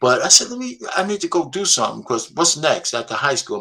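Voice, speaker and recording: Speaking in an American accent at a moderate pace, a man with a high pitch and a bright, sharp tone moves through very wide pitch swings. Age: 60s. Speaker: panel guest. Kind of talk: casual chat. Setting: live stream.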